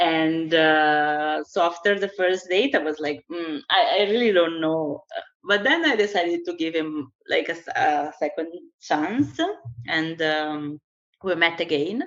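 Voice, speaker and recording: Speaking fairly slowly with a strong Italian accent, a woman with a fairly low pitch shows ordinary pitch variation. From Italy, Brazilian family. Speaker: guest partner in a couple. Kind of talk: casual interview chat.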